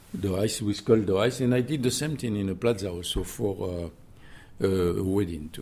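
A fairly low, dark and mellow male voice with a French accent, at a moderate pace with ordinary pitch variation. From southwest France, Millau. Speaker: chef. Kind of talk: interview. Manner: halting.

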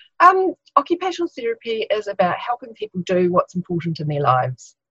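In a New Zealand accent, a bright, sharp voice races at a very fast pace with very wide pitch swings, the sound dry and close with no echo. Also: woman, fairly high pitch for a woman. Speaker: occupational therapist. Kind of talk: interview.

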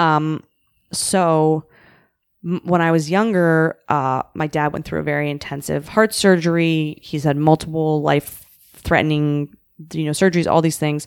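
Speaking fairly slowly with a western Canadian accent, a woman uses a very deep, low pitch and fairly even intonation in a very clean recording with a silent background and a dry, close sound with no echo. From Canada, Vancouver. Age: 30s. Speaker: comedian. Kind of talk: casual chat.

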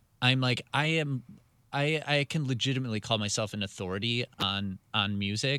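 A man with an American accent speaks fairly slowly in a bright, sharp tone, the sound dry and close with no echo and the recording very clean against a silent background. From Wisconsin, Milwaukee. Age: 30s. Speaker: radio music director. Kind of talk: interview. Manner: halting.

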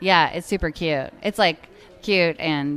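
Speaking at a fairly slow pace, a woman uses a very deep, low pitch and fairly even intonation. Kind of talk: casual chat.

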